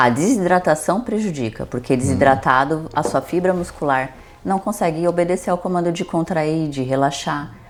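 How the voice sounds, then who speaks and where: Pitch swings very widely at a moderate pace, with noticeable background noise behind the voice. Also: woman. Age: 40s. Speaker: nutritionist. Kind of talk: casual interview chat.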